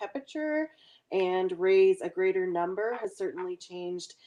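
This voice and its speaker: With a Nova Scotia accent, a woman speaks with ordinary pitch variation. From Nova Scotia, Annapolis Valley. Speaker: chicken farmer. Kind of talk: live q&a interview. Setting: live stream from farm.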